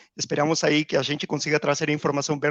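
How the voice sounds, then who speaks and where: The voice carries a Peruvian accent. The sound is dry and close with no echo, over a quiet background. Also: man. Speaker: procurement executive. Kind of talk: podcast interview.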